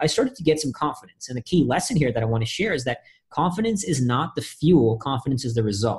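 Talking very fast with lively intonation, a man with an American accent has a fairly high pitch and a somewhat breathy sound. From India, then Austin, Texas as a teen. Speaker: Marine veteran, speaker, author, adventurer. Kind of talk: interview conversation.

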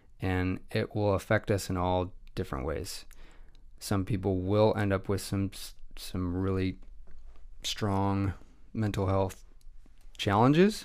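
Speaking with a West Coast accent, a man keeps a fairly low pitch and fairly even intonation at a fairly slow pace, with long, frequent pauses. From US Pacific Northwest, Pierce County, Washington. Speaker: photographer and videographer. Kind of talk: casual interview. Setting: studio.

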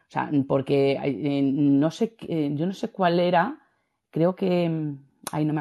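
A woman with a Spanish accent, a dark, mellow tone and ordinary pitch variation against a quiet background. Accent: Peninsular Spanish. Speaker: audience participant. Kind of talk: casual chat. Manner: halting.

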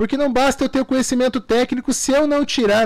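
A man talks at a fairly quick pace. His pitch is extremely high. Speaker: lawyer and entrepreneur. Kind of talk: radio interview. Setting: radio studio.

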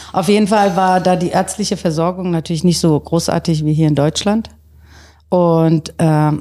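Recorded very cleanly against a silent background, a woman speaks at a moderate pace in a very deep, low pitch, her dark, mellow tone carrying ordinary pitch variation. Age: 50s. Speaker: fashion designer and business owner. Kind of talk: casual chat.

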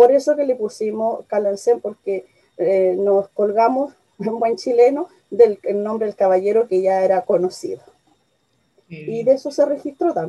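The pace is moderate, in a plain, everyday voice. Loudness swings widely. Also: woman, fairly high pitch for a woman. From Chile. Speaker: tourism media entrepreneur. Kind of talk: interview.

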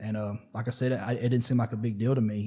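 Speaking at a fairly quick pace with an American accent, a man has a medium pitch, a somewhat breathy, dark, mellow tone and monotone, flat intonation. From US Midwest, Missouri. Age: 30s. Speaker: recovery advocate and veteran community radio host. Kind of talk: casual interview.

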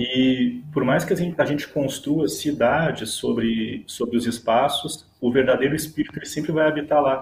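Speaking at a medium tempo, a man has a fairly high pitch. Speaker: Guarani-descended visual artist. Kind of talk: casual chat.

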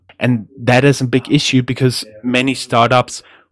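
Recorded very cleanly with a silent background and a dry, close sound with no echo, a man at medium pitch speaks with a German accent. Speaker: podcast host. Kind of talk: casual chat.

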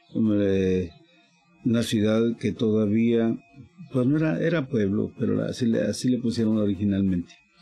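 With music in the background, a man speaks at a moderate pace and fairly low pitch, his loudness very even and his pitch varying in an ordinary way. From Michoacán, Mexico. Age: 70s. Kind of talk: interview storytelling.

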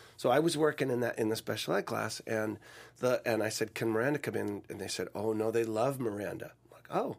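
At a fairly quick pace, a man with a medium pitch speaks in a plain, everyday voice with ordinary pitch variation. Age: 50s. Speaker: voice-over and commercial actor. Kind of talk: casual interview chat.

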